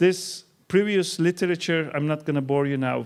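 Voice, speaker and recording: A man with a Turkish accent talks at a moderate pace and a fairly high pitch. The recording is very clean, with a silent background. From Turkey. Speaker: keynote speaker, researcher. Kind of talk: keynote lecture. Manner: animated.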